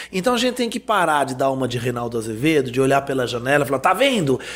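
A man's lively intonation comes through as he speaks at a very fast pace. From France. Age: 40s. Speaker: urban mobility expert. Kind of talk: panel discussion.

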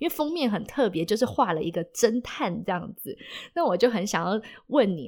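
The voice moves through very wide pitch swings in a very clean recording with a silent background. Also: woman. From Taiwan, Taipei. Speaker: podcast host. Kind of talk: casual interview.

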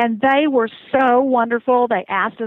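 A normal speaking voice at a moderate pace. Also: woman. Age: 60s. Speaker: cruise reviewer. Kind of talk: casual interview. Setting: phone call.

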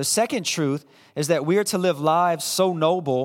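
A normal speaking voice, moderately paced, captured as a very clean recording against a silent background. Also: man. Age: 30s. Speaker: pastor. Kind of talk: sermon.

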